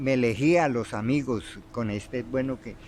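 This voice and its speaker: A man's medium-pitched voice at a fairly slow pace with ordinary pitch variation. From Colombia, Tolima (Armero). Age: 60s. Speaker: interviewee telling his life story. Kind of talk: life-story interview. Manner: halting, many repetitions and fillers.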